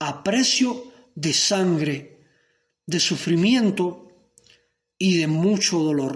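This man's voice sits at a high pitch. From Cuba. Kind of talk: sermon.

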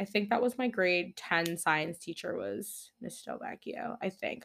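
The recording is very clean, with a silent background. A woman talks at a moderate pace in a medium pitch, her intonation lively. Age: 20s. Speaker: podcast host. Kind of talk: solo casual monologue. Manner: animated.

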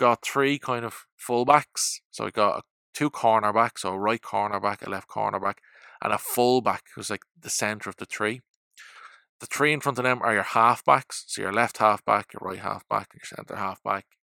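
A man with an Irish accent, medium-pitched, bright and sharp in tone, fairly even intonation at a moderate pace, big swings in loudness, dry close sound with no echo, very clean recording over a silent background. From Ireland. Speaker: football podcast host. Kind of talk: solo podcast monologue.

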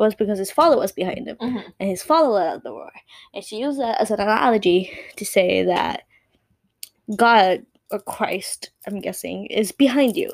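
Speaking with a slight Puerto Rican accent, a woman uses an animated tone and lively intonation at a fairly high pitch, a moderate pace and big swings in loudness. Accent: light Puerto Rican Spanish-accented English. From Puerto Rico. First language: Spanish. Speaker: podcast co-host. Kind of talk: casual chat.

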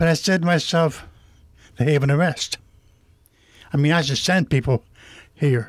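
A man with a fairly high pitch speaks at a moderate pace, somewhat breathy, with ordinary pitch variation. His loudness stays very even, and he leaves long, frequent pauses. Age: 70s. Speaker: ministry volunteer, former program resident. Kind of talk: testimony. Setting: radio studio.

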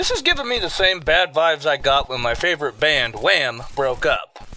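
In a put-on character voice, a man speaks at a moderate pace with a fairly high pitch, a bright, sharp tone and big pitch swings.

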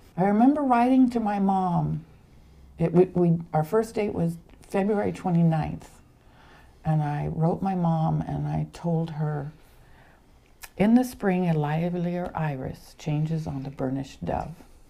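A woman speaks at a fairly slow pace with long, frequent pauses. Her intonation is lively. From Los Angeles, born in Argentina. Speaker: guest, craftsman's wife and business partner. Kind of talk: casual interview.

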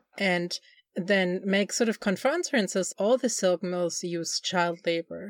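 In a dry, close sound with no echo, a woman speaks with a German accent. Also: very clean recording, silent background. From Germany. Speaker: film podcast co-host. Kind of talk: casual chat.

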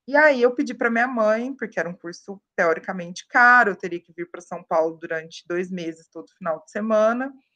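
With a bright, sharp tone and big swings in loudness, a woman at a medium pitch speaks at a fairly quick pace with hardly any pauses, in a dry, close sound with no echo. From Minas Gerais interior, Brazil. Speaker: sales enablement professional. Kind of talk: podcast interview.

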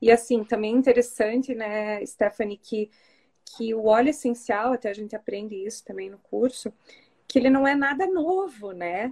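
In a dry, close recording with no echo, a woman with an ordinary speaking voice and fairly high pitch talks at a moderate pace, with ordinary pitch variation and big swings in loudness. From Curitiba, southern Brazil. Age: 40s. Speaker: course student sharing testimony. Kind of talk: testimony.

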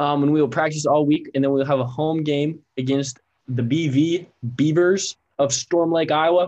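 A man's normal speaking voice, fairly high in pitch, with fairly even intonation at a moderate pace. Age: 20s. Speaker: college sports podcast co-host. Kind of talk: casual chat. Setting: video call.

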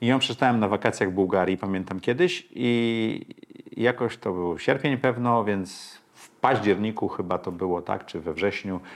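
Using a plain, everyday voice, a man of fairly low pitch speaks at a moderate pace with ordinary pitch variation and big swings in loudness. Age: 50s. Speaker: investor and podcaster. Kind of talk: interview.

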